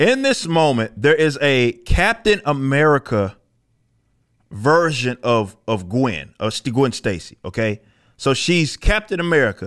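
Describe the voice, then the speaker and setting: A man at a fairly slow pace with very wide pitch swings, against a quiet background. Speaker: comic commentary streamer. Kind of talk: commentary. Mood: critical, mocking, exasperated. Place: studio. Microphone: studio mic.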